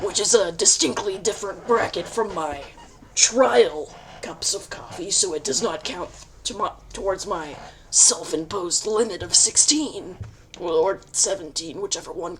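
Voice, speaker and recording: Using a raspy put-on character voice at a medium pitch, a woman speaks at a moderate pace with lively intonation over clear background noise. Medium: game stream. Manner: smug, cocky, theatrical.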